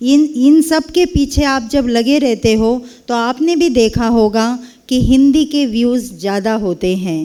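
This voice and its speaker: A woman's high voice with a dark, mellow tone and lively intonation. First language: Kannada (speaking Hindi). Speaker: Hindi professor. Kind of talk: speech at a university event.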